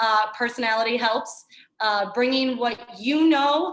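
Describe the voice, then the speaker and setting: A woman's energetic, fairly high-pitched voice. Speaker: fitness trainer. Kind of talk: casual chat. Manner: loud.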